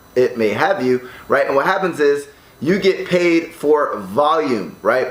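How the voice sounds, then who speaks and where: Noticeable background noise sits under the recording. A man with an American accent speaks at a fairly high pitch. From United States. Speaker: online entrepreneur. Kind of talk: tutorial. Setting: condo room. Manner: casual, filler-heavy.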